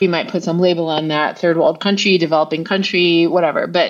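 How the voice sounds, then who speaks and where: A woman with an American accent talks at a moderate pace and a fairly low pitch. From United States. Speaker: author and researcher. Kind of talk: interview. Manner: animated, with false starts.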